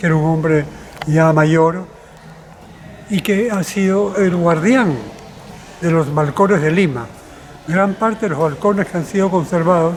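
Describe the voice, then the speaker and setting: A man with a high pitch and ordinary pitch variation talks at a fairly slow pace, with audible room echo and noticeable background noise. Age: 80s+. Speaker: cultural manager and historian. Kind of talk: interview.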